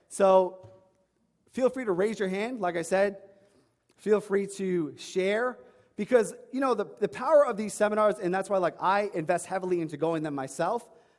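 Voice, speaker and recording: A man with a New York accent speaks in a high voice. His tone is animated. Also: ordinary pitch variation. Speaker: online fitness coach. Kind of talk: seminar talk. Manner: fast.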